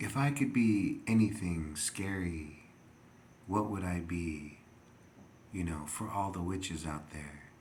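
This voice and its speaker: A man talks at a very slow pace, and room echo is audible around his voice. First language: not English. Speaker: video blogger. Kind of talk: rambling monologue. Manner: halting, many fillers.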